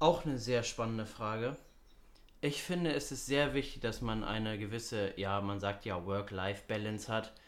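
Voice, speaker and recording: A man's moderately paced speech, with ordinary pitch movement, comes through with audible room echo. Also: medium pitch for a man. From Hamburg, northern Germany. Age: young. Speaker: student podcast co-host. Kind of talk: casual chat.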